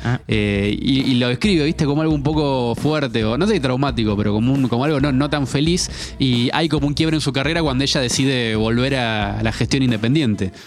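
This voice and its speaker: Someone with a Rioplatense accent talks at a fairly quick pace with hardly any pauses, very even loudness and ordinary pitch variation, over noticeable background noise. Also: man, medium pitch for a man. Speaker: music podcast host. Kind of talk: casual chat.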